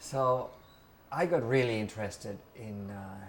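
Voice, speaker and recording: A man with a medium-pitched voice speaks very slowly, with audible room echo around him. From Mexico. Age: 50s. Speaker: interviewee recounting music history. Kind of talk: oral history interview. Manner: hesitant, many fillers.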